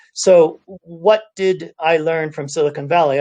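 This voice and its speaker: A man speaks with a slight Californian accent. His intonation stays fairly even. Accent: slight California. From US, California (Cupertino). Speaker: UN environment official. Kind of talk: panel talk. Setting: video call from home office.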